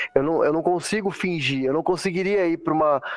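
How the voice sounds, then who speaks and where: Delivered at a very fast pace with ordinary pitch variation, the voice sounds dry and close, with no echo. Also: man. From southern Brazil, Santa Catarina. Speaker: airline pilot. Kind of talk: casual interview.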